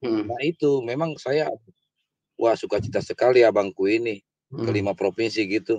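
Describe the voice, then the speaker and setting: A man at a moderate pace, with a dry, echo-free sound. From Indonesia (Batak). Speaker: viewer calling in. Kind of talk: casual chat. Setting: video call. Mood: joyful, praising. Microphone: video call.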